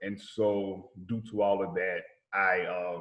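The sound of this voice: With a Southern US accent, a man talks at a fairly low pitch with little pitch movement.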